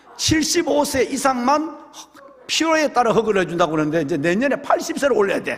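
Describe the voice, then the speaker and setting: An animated man's voice rises and falls in very wide pitch swings against noticeable background noise. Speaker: pastor. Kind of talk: sermon. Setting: church.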